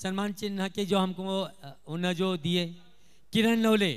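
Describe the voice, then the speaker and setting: Over a quiet background, a man with a high pitch talks at a fairly slow pace with fairly even intonation. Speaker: stage announcer at felicitation ceremony. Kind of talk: ceremony announcements. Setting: stage with PA system. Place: stage. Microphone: handheld.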